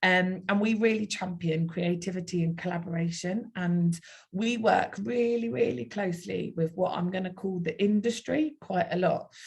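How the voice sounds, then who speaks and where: In a South London accent, a woman with a medium pitch speaks at a moderate pace in a somewhat breathy voice, with ordinary pitch variation and hardly any pauses. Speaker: university outreach speaker. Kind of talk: online presentation.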